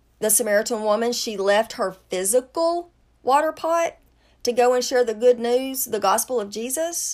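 A normal speaking voice from a woman, fairly high in pitch with ordinary pitch variation, at a fairly slow pace over a very clean recording with a silent background. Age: 50s. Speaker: podcast host giving bible teaching. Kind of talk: bible teaching.

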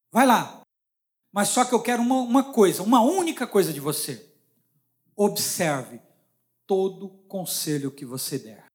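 A man with a Brazilian accent speaks in an animated tone at a high pitch, with very wide pitch swings and long, frequent pauses, in a very clean recording with a silent background. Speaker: preacher. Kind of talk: sermon. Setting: church.

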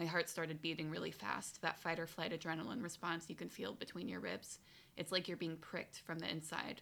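Quick-paced and fairly low in pitch, a woman speaks with a bright, sharp tone and vocal fry. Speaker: podcast host. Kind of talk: casual chat.

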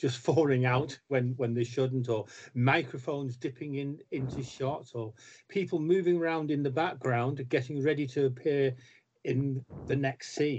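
A man talks in a normal speaking voice, pitched fairly high. His pace is fairly slow, with ordinary pitch variation. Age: 60s. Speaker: comics writer. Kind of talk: casual chat.

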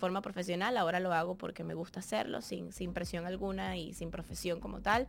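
A woman with an ordinary speaking voice, medium pitch and a moderate pace. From Venezuela, Barquisimeto. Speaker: dancer, model and TV presenter. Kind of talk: casual Q&A monologue.

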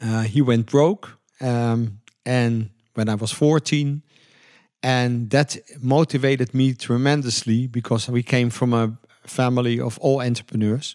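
A man with a Dutch accent speaks at a fairly slow pace and a medium pitch, his intonation fairly even, in a dry, close recording with no echo and a quiet background. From Netherlands. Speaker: entrepreneur. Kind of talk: interview.

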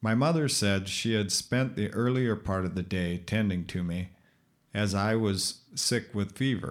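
The speech comes at a fairly slow pace with an American accent and ordinary pitch variation. The recording is very clean, with a silent background. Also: man, fairly low pitch for a man. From Minnesota. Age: 50s. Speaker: podcaster with epilepsy. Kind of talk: reading aloud; casual monologue. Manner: halting.

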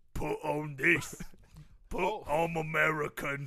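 A man performs a put-on character voice with a fairly high pitch. He speaks at a very slow pace.

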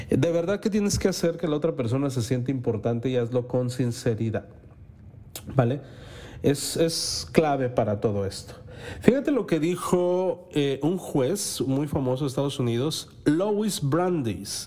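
A man speaks fairly slowly in a fairly high voice, his tone animated and his intonation lively. Noticeable background noise is present. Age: 40s. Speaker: podcast host. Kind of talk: motivational monologue.

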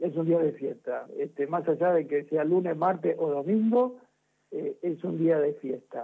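A man's high-pitched voice moves at a fairly slow pace with ordinary pitch variation. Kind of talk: casual chat. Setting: phone call.

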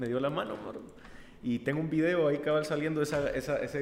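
Audible room echo surrounds the speech. A man delivers it very fast. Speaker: musician, singer. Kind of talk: casual interview.

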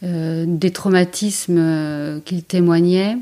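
With flat, monotone intonation, a woman talks in a fairly low register. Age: 40s. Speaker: emergency doctor. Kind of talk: interview.

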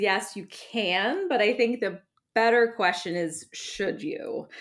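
This is an unremarkable speaking voice. It moves at a fairly slow pace. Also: woman. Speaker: wedding planner. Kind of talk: casual advice chat. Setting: video call.

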